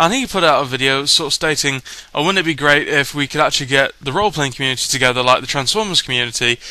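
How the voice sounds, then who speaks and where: A man talking very fast in a British accent, with a bright, sharp tone, fairly high pitch and ordinary pitch variation. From Britain. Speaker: YouTube vlogger. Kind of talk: casual vlog. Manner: hesitant, many fillers.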